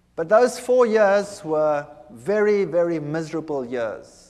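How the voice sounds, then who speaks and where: With a high-pitched voice, a man speaks at a fairly slow pace. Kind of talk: testimony. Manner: halting.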